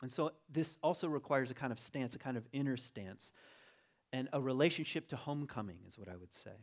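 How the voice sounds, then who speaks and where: On a very clean recording with a silent background, a man with a normal speaking voice and a medium pitch talks at a fairly quick pace, with ordinary pitch variation and big swings in loudness. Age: 40s. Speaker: teacher. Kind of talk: sermon. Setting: church. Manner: reflective.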